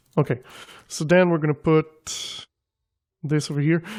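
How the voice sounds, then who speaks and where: Very clean audio with a silent background, carrying a non-native accent. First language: not English. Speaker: gaming video creator. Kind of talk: gameplay commentary. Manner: casual, thinking aloud with fillers.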